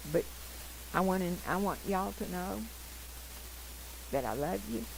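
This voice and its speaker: A woman at a moderate pace with audible room echo. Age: 80s+. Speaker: missionary. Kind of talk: testimony.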